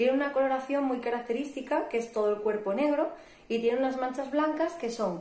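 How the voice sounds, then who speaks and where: Ordinary pitch variation and a moderate pace in a northern Spanish accent. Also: woman. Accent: northern Peninsular Spanish. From northern Spain, Asturias. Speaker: biologist and professional diver. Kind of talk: interview, explanatory.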